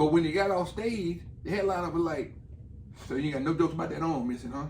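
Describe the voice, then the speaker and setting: Lively intonation marks this speech, delivered very fast. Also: man. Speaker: comedian. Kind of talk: casual chat.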